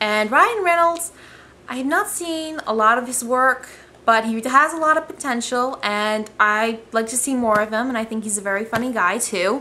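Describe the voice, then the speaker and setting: Mumbling at a moderate pace, a woman uses lively intonation in a high-pitched, bright, sharp voice. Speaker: amateur movie reviewer vlogger. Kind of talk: casual vlog review. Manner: hesitant, many filler ums.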